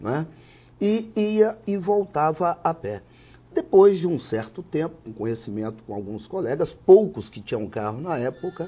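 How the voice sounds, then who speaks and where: Talking at a fairly slow pace, a man with a fairly high pitch shows very wide pitch swings and big swings in loudness. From Espírito Santo, Brazil (Alegre, then Vitória area). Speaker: judge. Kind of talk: interview.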